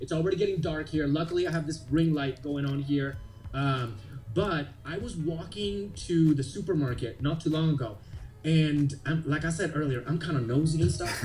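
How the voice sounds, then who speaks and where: With music in the background and audible room echo, the speaker has an animated tone, ordinary pitch variation and a moderate pace. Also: man, fairly high pitch for a man. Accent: Puerto Rican. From Puerto Rico. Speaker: genealogist and actor. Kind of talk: casual chat.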